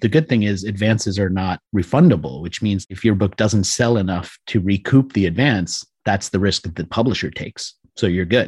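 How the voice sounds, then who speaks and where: A man with an American accent and a somewhat breathy voice speaks at a moderate pace in a dry, close sound with no echo and a quiet background. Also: fairly low pitch for a man, ordinary pitch variation. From US, Washington DC area. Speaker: author and book publisher. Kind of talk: interview.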